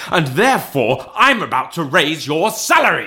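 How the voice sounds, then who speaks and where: A man puts on a gruff character voice, fairly high in pitch with very wide pitch swings, at a moderate pace. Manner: gruff, growling, mock-stern.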